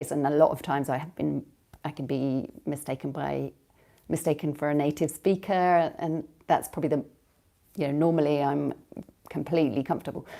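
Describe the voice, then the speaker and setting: A woman with a British accent speaks at a fairly quick pace, her pitch very deep and low with vocal fry. She takes long, frequent pauses. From Britain. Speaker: language coach. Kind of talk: live stream monologue. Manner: hesitant, many fillers.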